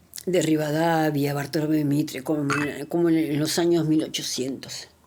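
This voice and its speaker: Room echo is audible as a woman talks at a moderate pace. Her voice is very deep and low. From Argentina. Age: 60s. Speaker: political commentary vlogger. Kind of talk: video monologue. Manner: animated.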